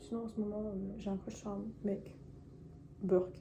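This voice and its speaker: A woman's dark, mellow voice with vocal fry and fairly even intonation carries audible room echo. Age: 20s. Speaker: YouTuber. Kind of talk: personal vlog confession. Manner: fast; hesitant, many fillers.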